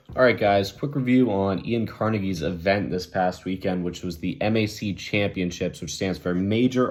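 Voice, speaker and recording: Speaking in an ordinary speaking voice, a man uses lively intonation at a fairly low pitch and a moderate pace. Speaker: arm wrestler and video blogger. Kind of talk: casual vlog review.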